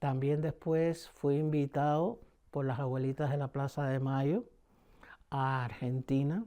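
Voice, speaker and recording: Over a quiet background, a man with a Cuban accent talks at a fairly slow pace in a fairly high pitch with a dark, mellow tone. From Cuba, Havana. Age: 70s. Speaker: painter, performer. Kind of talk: interview answer.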